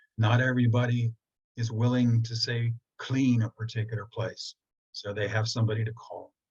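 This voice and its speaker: A man speaks in a monotone with flat intonation. His voice is somewhat breathy. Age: 70s. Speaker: feng shui teacher. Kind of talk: online presentation. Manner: conversational.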